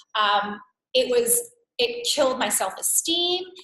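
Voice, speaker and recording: Bright, sharp tone from a woman with a New York accent and a high pitch. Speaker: wellness coach. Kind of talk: live webinar workshop. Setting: live webcast. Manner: animated.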